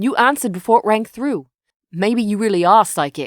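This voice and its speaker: Putting on a character voice, a female-sounding speaker growls at a fairly high pitch and a moderate pace. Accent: slight British. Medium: read story. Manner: hesitant, clears throat.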